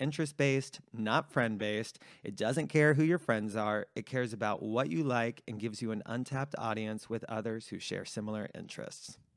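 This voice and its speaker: Fairly quick and with hardly any pauses, a man talks in an ordinary speaking voice of medium pitch with ordinary pitch variation. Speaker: podcast host. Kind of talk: casual chat. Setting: home living room.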